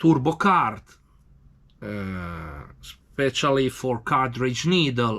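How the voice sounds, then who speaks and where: Very slow speech with an Italian accent and a bright, sharp tone is captured in a very clean recording with a silent background. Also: man. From Italy. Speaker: tattoo machine maker. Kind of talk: tutorial. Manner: halting.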